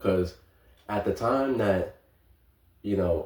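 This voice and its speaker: A somewhat breathy voice with a dark, mellow tone speaks in an American accent with ordinary pitch variation. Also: man. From New York, the Bronx. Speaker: vlogger. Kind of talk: casual monologue. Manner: halting.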